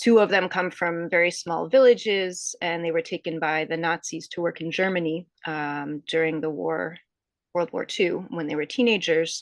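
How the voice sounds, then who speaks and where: Over a quiet background, a woman with a normal speaking voice speaks at a moderate pace, her fairly low pitch showing ordinary pitch variation. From US Northeast, suburban Connecticut. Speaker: author. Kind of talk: interview. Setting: podcast interview.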